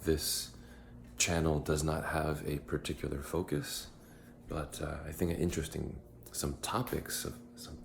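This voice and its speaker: A quiet man's very deep, low voice with vocal fry, ordinary pitch variation, and long, frequent pauses. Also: fairly slow pace. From United States. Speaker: vlogger. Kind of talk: casual vlog monologue. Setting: at home in apartment. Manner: halting, many fillers.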